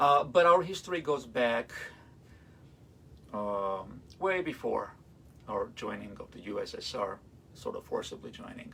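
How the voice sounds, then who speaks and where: A man speaks with an Armenian accent. His loudness swings widely, and he leaves long, frequent pauses. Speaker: classical violinist. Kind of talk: live-streamed concert talk. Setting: livestream. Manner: halting, many fillers.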